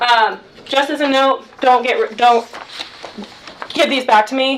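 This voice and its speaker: A woman speaks over noticeable background noise. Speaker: graduate student representative on campus committee. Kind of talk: committee meeting report. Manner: fast.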